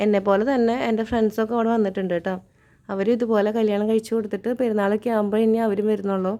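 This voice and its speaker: A woman speaks in a fairly high pitch with a dark, mellow tone. Her intonation is monotone and flat, and her loudness stays very even. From Kerala, Thrissur district (Choondal). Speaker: vlogger. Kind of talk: vlog narration. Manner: casual, chatty.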